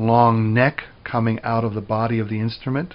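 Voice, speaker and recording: With an ordinary speaking voice, a man talks at a fairly slow pace and a medium pitch. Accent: American. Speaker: music professor. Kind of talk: lecture.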